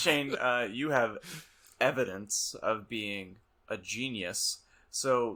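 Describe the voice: Pitch variation is ordinary. The delivery is plain reading aloud.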